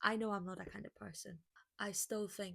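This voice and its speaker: With a Portuguese accent, a woman talks at a moderate pace and medium pitch, her pitch varying in an ordinary way. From Brazil. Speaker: lifestyle vlogger. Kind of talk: casual vlog monologue. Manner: halting.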